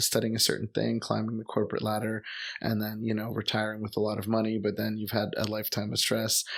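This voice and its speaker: A man speaks with a Montreal accent at a fairly low pitch. His intonation is monotone and flat. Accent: Canadian English (Montreal anglophone). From Montreal, Quebec, Canada (English-speaking neighborhood). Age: 30s. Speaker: expat teacher and traveler. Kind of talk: casual chat. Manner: hesitant, many fillers.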